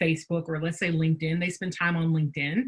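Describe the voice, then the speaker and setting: Here is a woman with a Southern US accent. Her pitch sits fairly low. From US South. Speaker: business workshop presenter. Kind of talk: webinar presentation.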